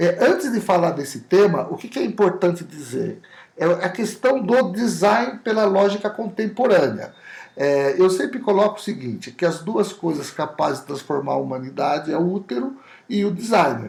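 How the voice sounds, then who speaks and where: This man speaks with a high pitch and lively intonation. His pace is moderate. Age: 60s. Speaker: olfactory designer, company CEO. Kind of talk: podcast interview.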